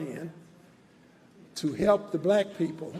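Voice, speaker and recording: Very slowly and with fairly even intonation, a man with an American accent speaks in a high voice. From Texas, Dallas. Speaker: civil rights organization leader. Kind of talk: commemoration speech.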